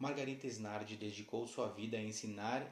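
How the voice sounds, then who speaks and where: Amid noticeable background noise and audible room echo, a man talks at a fairly slow pace. His pitch is medium and his intonation fairly even. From southern Brazil, Uruguayan border (Santana do Livramento). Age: 30s. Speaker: university student. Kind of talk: scripted narration. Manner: formal.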